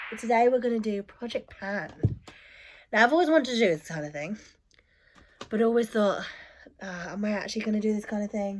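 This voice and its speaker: A woman's fairly high voice at a very fast pace, with ordinary pitch variation, big swings in loudness and long, frequent pauses. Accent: British. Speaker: beauty vlogger. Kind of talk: casual vlog talk.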